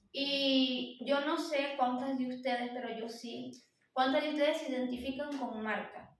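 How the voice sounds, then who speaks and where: In a room with audible echo, a woman speaks fairly slowly in a high-pitched voice with fairly even intonation. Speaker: lay preacher at women's church meeting. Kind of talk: sermon. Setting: church service.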